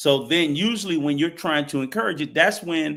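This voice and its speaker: A normal speaking voice from a man, fairly high-pitched, at a moderate pace with lively intonation. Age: 60s. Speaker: travel show panelist. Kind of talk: heated debate.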